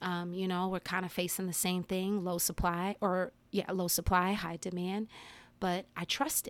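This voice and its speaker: With an American accent, a woman uses an unremarkable speaking voice at medium pitch and a moderate pace. Her intonation is fairly even, and the recording is very clean with a silent background. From New Jersey (Englewood, near New York City). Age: 40s. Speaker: podcast host and yoga teacher. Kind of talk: casual solo monologue. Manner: chatty, filler-heavy with frequent laughs.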